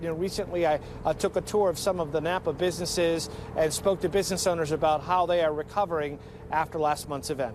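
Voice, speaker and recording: Over noticeable background noise, a man talks at a very fast pace in a high voice with fairly even intonation. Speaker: TV news reporter. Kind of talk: live TV news broadcast. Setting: outdoors, live on location.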